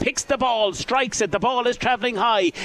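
The man's pitch is extremely high. Noticeable background noise fills the clip. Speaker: live radio commentator. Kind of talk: live sports commentary. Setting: outdoors at the ground. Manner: fast, fluent play-by-play delivery.

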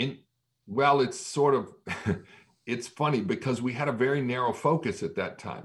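A man with a fairly high pitch speaks in a somewhat breathy voice with ordinary pitch variation and long, frequent pauses. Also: moderate pace. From Massachusetts, US. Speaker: pastor. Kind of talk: interview.

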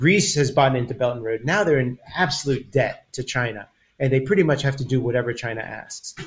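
Somewhat breathy, a man speaks at medium pitch with an American accent. His pace is fairly quick. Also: ordinary pitch variation. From US, Taiwanese American. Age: 50s. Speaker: community organizer. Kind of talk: casual chat. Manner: halting.

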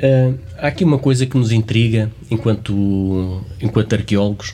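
A man with a medium-pitched voice talks at a fairly slow pace, his intonation fairly even. Noticeable background noise sits behind him. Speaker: archaeologist and podcast host. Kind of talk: interview.

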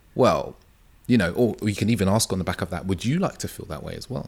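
Fairly low in pitch, a man speaks at a fairly quick pace. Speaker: men's dating coach. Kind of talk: casual interview chat.

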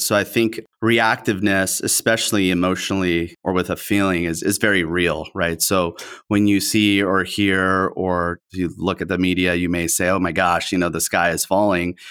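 A man with a Spanish accent, very deep and low-pitched, in a monotone, flat delivery. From Southern California. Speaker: company CEO. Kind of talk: interview.

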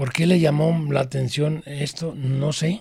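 Here a man speaks in a fairly high pitch that is somewhat breathy. His intonation stays fairly even. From Mexico, Guadalajara (Jalisco). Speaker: former student activist. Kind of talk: interview testimony.

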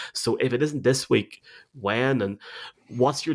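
A man with a Northern Irish accent speaks with ordinary pitch variation. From Tyrone, Northern Ireland. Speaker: podcast host. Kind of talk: casual sports preview chat.

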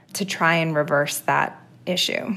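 A woman speaks fairly slowly with a fairly low pitch, vocal fry and fairly even intonation. The recording is very clean, with a silent background. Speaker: town housing official. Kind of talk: interview.

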